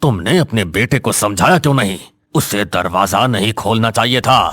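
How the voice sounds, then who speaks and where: With music in the background, a man does a put-on character voice at medium pitch, keeping a moderate pace, very even loudness and lively intonation. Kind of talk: horror story narration. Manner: grave, menacing.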